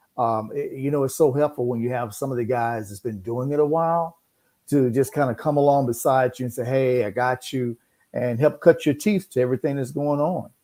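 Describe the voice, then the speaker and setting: A man with an American accent, a medium pitch, ordinary pitch variation and a dark, mellow tone, talking at a fairly quick pace on a very clean recording with a silent background. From US South (Memphis, Tennessee). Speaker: radio broadcaster and voiceover artist. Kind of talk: casual interview. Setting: radio studio.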